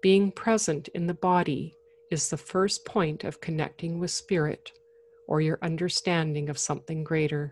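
A woman with a plain, everyday voice, a fairly low pitch and fairly even intonation. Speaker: podcast host and meditation guide. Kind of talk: guided meditation; casual solo talk. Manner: soothing, slow and gentle; calm, reassuring.

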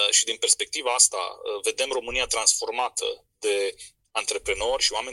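The man's pace is moderate. The sound is dry and close, with no echo. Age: young. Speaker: entrepreneur and event organizer. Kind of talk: radio interview.

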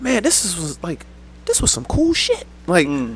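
A man's lively intonation comes across despite noticeable background noise. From Paterson, New Jersey. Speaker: actor and poet. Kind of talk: casual chat.

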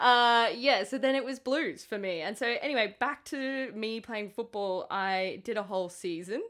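Very clean with a silent background, the recording captures a woman speaking at a moderate pace and fairly high pitch in an Australian accent, with ordinary pitch variation. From Queensland, Sunshine Coast. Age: 30s. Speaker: podcast co-host. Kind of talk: casual chat.

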